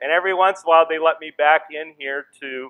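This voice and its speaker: With an American accent, a man talks at a moderate pace. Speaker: missionary. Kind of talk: sermon. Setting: church. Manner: loud; speeds up as he goes.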